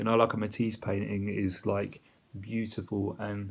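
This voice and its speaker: Speaking with a British accent, the man has a fairly low pitch. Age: 30s. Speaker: video diarist in addiction recovery. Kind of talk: personal video diary.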